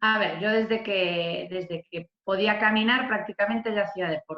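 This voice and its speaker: A woman with an ordinary speaking voice, at a moderate pace with fairly even intonation. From Galicia, Spain (born in Venezuela). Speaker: badminton player and coach. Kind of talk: video call panel interview.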